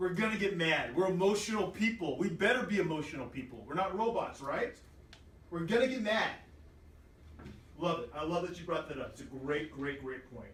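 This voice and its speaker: Loud, high-pitched male speech at a moderate pace, long and frequent pauses, noticeable background noise and audible room echo. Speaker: teacher. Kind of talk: classroom lesson. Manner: animated.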